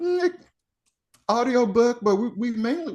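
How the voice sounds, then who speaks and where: A man speaks at a moderate pace. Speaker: poet. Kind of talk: interview answer.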